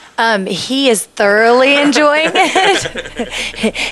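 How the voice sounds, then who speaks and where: The pitch swings very widely and the pace is very slow. Noticeable background noise runs under the speech. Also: woman, high pitch for a woman. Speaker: TV show host. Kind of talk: TV show interview.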